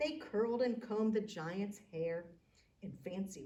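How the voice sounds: Using a natural reading voice, the speaker shows ordinary pitch variation.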